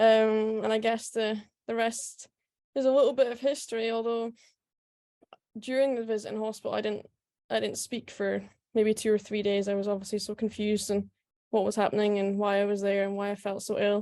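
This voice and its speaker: Speech in a Scottish accent, dark and mellow, with a flat, monotone delivery. The pace runs fairly quick, broken by long, frequent pauses. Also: woman, fairly high pitch for a woman. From Scotland, Aberdeen then Scottish Highlands. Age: 20s. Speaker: professional golfer. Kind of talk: talk at online event.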